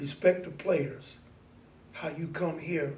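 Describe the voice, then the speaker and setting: Audible room echo surrounds a man with a fairly high pitch. He speaks very slowly in a monotone, flat way. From US Midwest, Mansfield, Ohio. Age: 70s. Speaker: community elder. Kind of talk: oral history interview.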